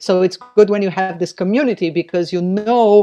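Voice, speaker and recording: Recorded dry and close with no echo against a quiet background, the voice moves at a moderate pace with ordinary pitch variation. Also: woman. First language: not English. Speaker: novelist. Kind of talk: casual chat. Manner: halting.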